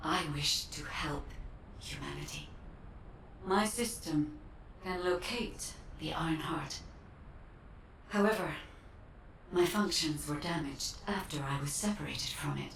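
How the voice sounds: A woman puts on a character voice, low-pitched with a fairly bright tone and ordinary pitch variation. She goes at a slow pace with long, frequent pauses, and room echo is audible.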